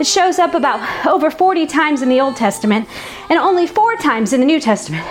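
With noticeable background noise around her, a woman speaks at a high pitch with very wide pitch swings. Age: 40s. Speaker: fitness instructor and faith podcast host. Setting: studio recording over workout music. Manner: animated.

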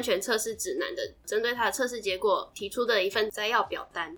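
A woman speaks in a bright, sharp tone at a moderate pace. Her pitch swings very widely. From Taiwan. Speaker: podcast host. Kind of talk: casual educational chat.

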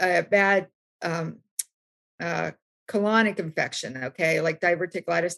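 A woman with an American accent has an ordinary speaking voice and ordinary pitch variation. She talks at a fairly slow pace in a dry, close sound with no echo. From US South, West Virginia. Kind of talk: panel discussion. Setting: video call from home.

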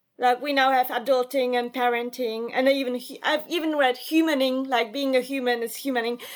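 Speaking in a Polish accent, a woman with a high voice keeps a moderate pace and fairly even intonation in a very clean recording with a silent background. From Poland, Warsaw. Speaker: writer and journalist. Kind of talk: interview. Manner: hesitant, with fillers.

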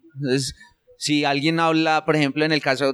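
A man with a fairly high pitch talks at a fairly quick pace in a normal speaking voice. The sound is dry and close, with no echo. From Colombia, rural Antioquia near Medellín. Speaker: SEO specialist. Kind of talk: interview conversation.

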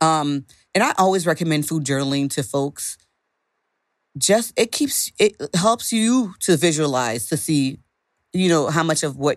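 On a very clean recording with a silent background, a woman with a very deep, low pitch speaks at a moderate pace with lively intonation. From Haitian American, raised in a Haitian household. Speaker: dietitian and nutritionist. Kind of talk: casual interview.

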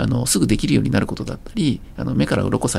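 Noticeable background noise runs behind the recording. A man talks at a very fast pace. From rural Japan. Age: 50s. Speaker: startup CEO. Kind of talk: interview.

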